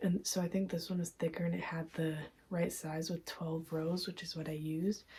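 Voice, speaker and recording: Speaking at a moderate pace, a woman has a fairly low pitch, a dark, mellow tone and a somewhat breathy quality. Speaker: crochet vlogger. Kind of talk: casual vlog review. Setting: at home at night. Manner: soft-spoken; hesitant filler-heavy.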